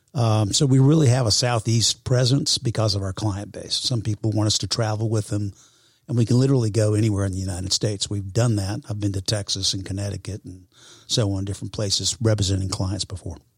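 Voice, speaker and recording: A man speaks at a very fast pace with a fairly low, somewhat breathy voice and fairly even intonation. The recording is very clean, with a silent background. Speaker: real estate professional. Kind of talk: casual interview. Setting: studio.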